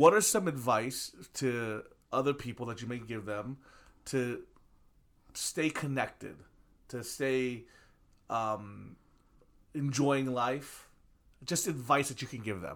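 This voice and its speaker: Very slow, with long, frequent pauses, a man speaks at a medium pitch with ordinary pitch variation and big swings in loudness on a very clean recording with a silent background. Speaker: pastor and church podcast host. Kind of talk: casual interview. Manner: warm, enthusiastic.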